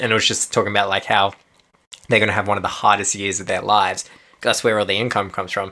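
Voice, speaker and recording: A man with an Australian accent, fairly low pitch, a bright, sharp tone, monotone, flat intonation and a very fast pace. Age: 20s. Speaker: podcast co-host. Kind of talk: casual chat.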